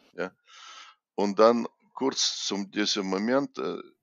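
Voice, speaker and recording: A man with a Russian accent, fairly low in pitch, at a very slow pace with ordinary pitch variation. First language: Russian (speaking German). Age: 60s. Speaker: chess grandmaster and coach. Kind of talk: interview. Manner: halting.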